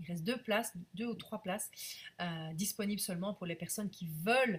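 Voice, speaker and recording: A woman talks at a moderate pace and a medium pitch. Her voice is somewhat breathy. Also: ordinary pitch variation. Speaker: business coach. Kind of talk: live stream sales pitch. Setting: live video stream. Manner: hesitant with frequent fillers.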